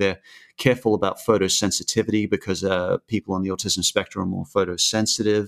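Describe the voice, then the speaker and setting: Speaking very fast in an Australian accent, a man with a fairly low voice keeps his intonation fairly even, with a dry, close sound, no echo, and a quiet background. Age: 30s. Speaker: YouTube cartoon creator. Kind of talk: casual interview. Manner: halting, many fillers.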